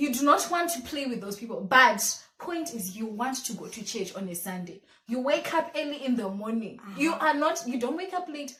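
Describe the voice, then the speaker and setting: With a Zimbabwean accent, a woman uses a high, raised, projected voice with very wide pitch swings and big swings in loudness. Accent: Zimbabwean (Shona). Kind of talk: casual talk to camera. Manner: lively, chatty.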